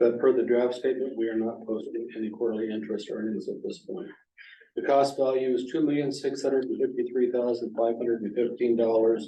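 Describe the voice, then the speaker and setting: A man with an ordinary speaking voice, fairly even intonation and a fairly quick pace. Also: medium pitch for a man. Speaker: finance committee chair. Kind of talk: public meeting report reading.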